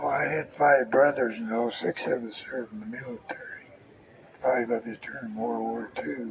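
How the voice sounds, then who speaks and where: Noticeable background noise sits behind a man who speaks with an American accent at a moderate pace. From rural Colorado. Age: 80s+. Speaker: war veteran. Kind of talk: casual interview. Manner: brief answers.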